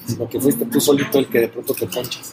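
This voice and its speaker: Music plays behind a man speaking at a very fast pace. His pitch is medium and his intonation fairly even. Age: 40s. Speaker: entrepreneur in construction and art. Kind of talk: interview.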